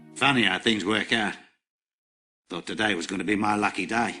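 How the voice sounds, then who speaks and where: A man puts on a character voice that is raspy and fairly low in pitch, delivered at a fairly quick pace with fairly even intonation. Faint music plays in the background. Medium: video game. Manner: blunt, coarse.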